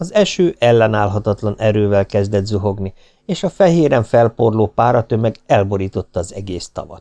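The voice reads naturally, its intonation lively throughout.

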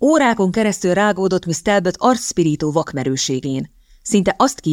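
The reading voice sounds unforced. Its intonation moves in a lively way.

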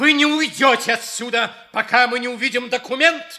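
This man uses a put-on character voice pitched extremely high, talking at a fairly quick pace with a bright, sharp tone. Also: ordinary pitch variation.

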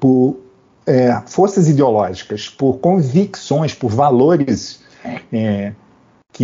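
A man speaks at medium pitch with lively intonation. His voice is somewhat breathy. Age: 60s. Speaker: physician and public health researcher. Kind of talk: panel discussion. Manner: halting.

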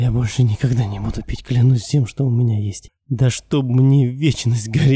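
It is an unforced reading voice, heard against a quiet background.

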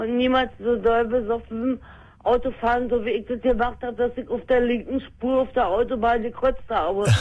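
A woman talks at a moderate pace with few pauses, using a fairly high pitch and fairly even intonation.

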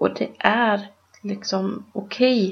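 With fairly even intonation, a woman speaks in a voice that is somewhat breathy. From Sweden. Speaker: podcast co-host. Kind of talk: casual discussion.

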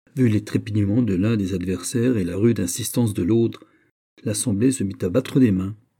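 The speech is plain reading aloud with ordinary pitch variation. The background is quiet.

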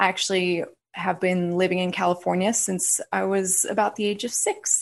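A woman's plain, everyday voice with an American accent, fairly slow in pace and fairly even in intonation, over a quiet background. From US West. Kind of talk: casual interview chat.

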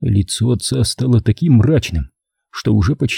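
The background stays quiet. An unforced reading voice carries lively intonation.

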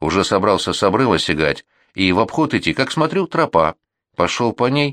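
In an unforced reading voice with lively intonation, the speaker reads against a quiet background.

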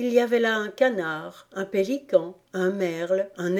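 The passage is plainly read aloud. Its pitch varies by an ordinary degree.

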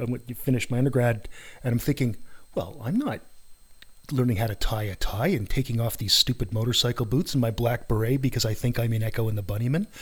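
Somewhat breathy, a man talks at a fairly quick pace in a medium pitch. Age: 50s. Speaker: podcast host, psychology academic. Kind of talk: casual interview. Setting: home studio, face to face. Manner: animated.

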